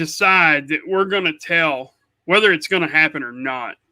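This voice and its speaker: A man with an Oklahoma accent speaks at a high pitch. His tone is bright and sharp. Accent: Oklahoma rural US South-Midland. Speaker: podcast co-host. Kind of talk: casual chat. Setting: live stream. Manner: animated.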